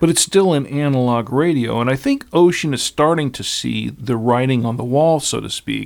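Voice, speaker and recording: A man with an unremarkable speaking voice keeps to a medium pitch, with ordinary pitch variation and hardly any pauses. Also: moderate pace. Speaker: podcast host. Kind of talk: casual panel discussion about radio gear.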